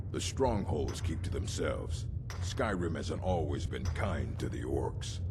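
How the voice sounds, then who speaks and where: Doing a put-on character voice, a man speaks at a moderate pace in a very deep, low pitch over loud background noise. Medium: machinima. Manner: menacing, mocking.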